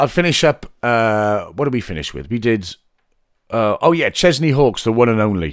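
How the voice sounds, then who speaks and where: A man with a medium pitch speaks at a moderate pace in an animated tone, using lively intonation and long, frequent pauses. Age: 40s. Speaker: singer and podcast host. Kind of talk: casual storytelling monologue.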